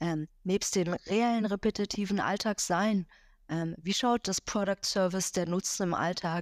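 The recording is very clean, dry and close with no echo and a silent background, as a woman at a medium pitch speaks fairly slowly with fairly even intonation. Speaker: board member, lecturer and consultant. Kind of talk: interview.

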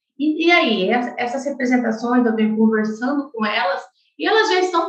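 A woman speaks with a high pitch and lively intonation. Audible room echo surrounds her. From Brazil, Mato Grosso do Sul (Chapadão do Sul). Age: 20s. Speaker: agronomist and farm successor. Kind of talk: interview.

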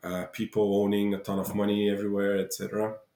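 A man with a Bulgarian accent and a fairly low pitch, dark and mellow in tone. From Bulgaria, Dobrich. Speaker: entrepreneur. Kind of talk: interview. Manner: halting.

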